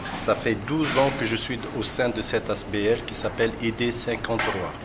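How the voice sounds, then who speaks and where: A man speaks at a moderate pace and medium pitch with fairly even intonation. Noticeable background noise runs underneath. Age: 60s. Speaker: chef and cooking trainer. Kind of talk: interview.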